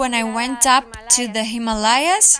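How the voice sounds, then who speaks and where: Noticeable background noise sits behind this recording. A woman with a Ukrainian accent speaks at a fairly slow pace. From Ukraine, Ivano-Frankivsk. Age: 20s. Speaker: language learner and traveler. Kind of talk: interview.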